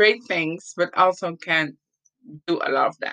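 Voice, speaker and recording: Her tone bright and sharp, a woman speaks with ordinary pitch variation in a dry, close sound with no echo. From Latin America. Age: 30s. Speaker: podcaster. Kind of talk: personal testimony monologue. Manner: halting.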